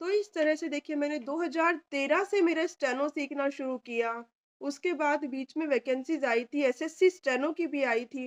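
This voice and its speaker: Ordinary pitch variation and hardly any pauses, in a dry, close sound with no echo. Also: woman, high pitch for a woman. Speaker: stenographer and steno tutor. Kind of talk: personal testimony.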